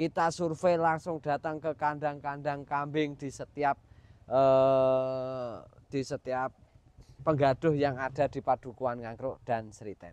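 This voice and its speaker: A man speaks very slowly with fairly even intonation. The sound is dry with no echo. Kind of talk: casual vlog chat. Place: farm machine. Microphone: lapel.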